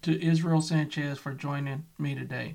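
This man's voice sits fairly high in pitch and sounds somewhat breathy. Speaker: podcast host. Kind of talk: interview.

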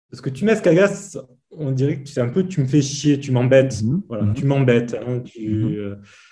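Speaking at a moderate pace, a man uses a medium pitch and lively intonation. His tone is dark and mellow, and somewhat breathy. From Provence, southern France. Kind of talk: casual chat.

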